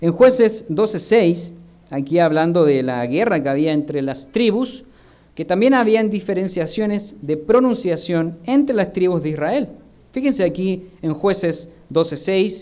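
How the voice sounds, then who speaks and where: In a room with audible echo, a man talks at a fairly slow pace, his high pitch carrying lively intonation and a dark, mellow tone. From Chile. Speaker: minister. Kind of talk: sermon.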